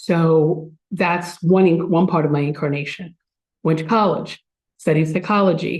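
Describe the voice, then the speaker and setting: Speaking with a Philadelphia accent, the voice has a dark, mellow tone and fairly even intonation. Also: woman. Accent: Philadelphia-area American English. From US Northeast, Philadelphia area (New Jersey). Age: 60s. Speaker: speaker at a spiritual community. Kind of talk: spiritual talk to a congregation. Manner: conversational, with frequent fillers.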